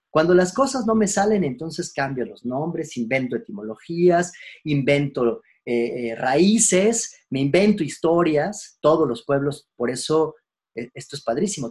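A man with a Mexican accent, fairly high in pitch with lively intonation, at a fairly slow pace. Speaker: philosophy teacher. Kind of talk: lecture. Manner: hesitant, many fillers; casual, conversational.

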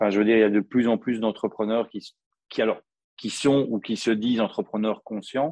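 In a monotone, flat intonation, a man with a medium pitch talks at a fairly quick pace. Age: 40s. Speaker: copywriter. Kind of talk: interview.

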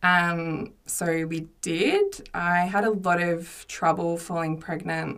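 A woman speaks with an Australian accent. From Australia, Mornington Peninsula, Victoria. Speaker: widowed mother. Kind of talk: casual chat. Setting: studio.

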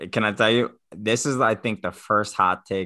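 A man's voice with vocal fry and a bright, sharp tone over a quiet background. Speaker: podcast host. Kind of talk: casual chat.

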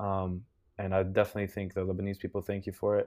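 The recording is very clean, and the background is silent. This man's voice is fairly low in pitch. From Lebanon. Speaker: small content creator. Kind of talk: casual chat.

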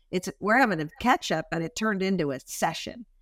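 A woman's very fast, lively speech at a medium pitch in an American accent, dry and close with no echo, on a very clean recording with a silent background. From Washington State, US. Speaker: brand executive and author. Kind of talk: interview.

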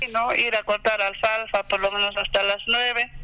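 A man's high, raised and projected voice at a fairly slow pace. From Peru, Apurímac. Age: 50s. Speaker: farmer. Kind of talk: interview.

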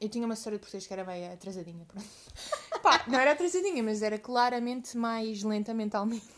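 Against noticeable background noise, a woman speaks at a fairly quick pace. Her fairly high pitch shows ordinary variation. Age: 20s. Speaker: podcast co-host. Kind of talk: casual chat.

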